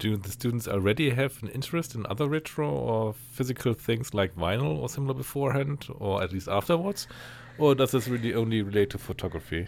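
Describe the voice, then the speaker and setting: Speaking with a German accent at a fairly quick pace, a man uses a medium pitch and lively intonation. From Germany. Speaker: photographer and podcaster. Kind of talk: interview.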